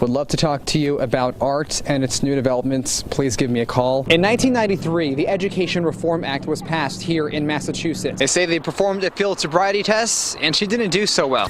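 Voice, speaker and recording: Noticeable background noise sits behind a man with a fairly high pitch and lively intonation. He talks at a fairly quick pace with hardly any pauses. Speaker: TV news anchor and reporter. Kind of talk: TV news report.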